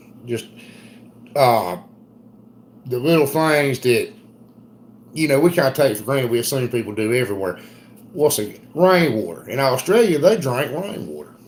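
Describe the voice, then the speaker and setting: A man with a strong Southern US accent talks at a moderate pace in a medium pitch, with lively intonation and long, frequent pauses. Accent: thick Southern US. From US South, South Carolina. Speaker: homesteader. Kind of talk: casual chat. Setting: live stream.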